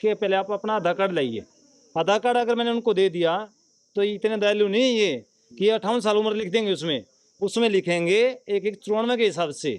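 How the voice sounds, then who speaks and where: A man with a high-pitched voice talks at a moderate pace with ordinary pitch variation. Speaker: village panchayat member. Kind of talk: news interview.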